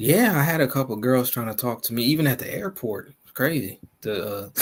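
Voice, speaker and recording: A man with an American accent speaks at a fairly quick pace and a medium pitch. His intonation is lively, and his loudness swings widely. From US, Ghanaian family. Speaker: caller. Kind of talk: casual chat. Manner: halting.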